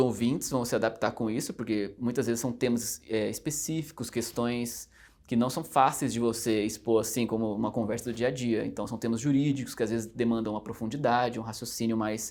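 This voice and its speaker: Keeping a fairly quick pace with hardly any pauses, a man speaks at a medium pitch with fairly even intonation. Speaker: judicial exam candidate. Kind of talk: interview. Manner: fast; hesitant fillers.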